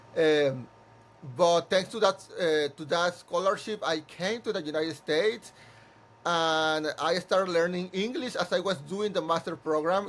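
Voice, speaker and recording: Spoken with a Spanish accent, the delivery moves at a moderate pace with fairly even intonation. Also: man. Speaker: musical theatre composer and director. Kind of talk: interview conversation. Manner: halting, many repeated words.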